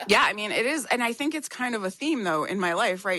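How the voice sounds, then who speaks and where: At a fairly quick pace, the loud voice carries a bright, sharp tone and lively intonation over a quiet background. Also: woman. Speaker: podcast guest sharing past life regression. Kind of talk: casual conversation.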